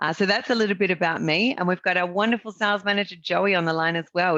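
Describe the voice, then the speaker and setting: A woman in an Australian accent talks at a very fast pace with ordinary pitch variation. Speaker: real estate business owner presenting a marketing service. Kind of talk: webinar sales presentation.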